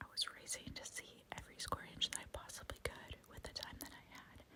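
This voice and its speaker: Whispering at a fairly quick pace in a calm tone, a woman speaks over noticeable background noise. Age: 30s. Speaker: ASMR YouTuber, mother. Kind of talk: whispered ASMR travel vlog voiceover. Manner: whispered, soft, calm.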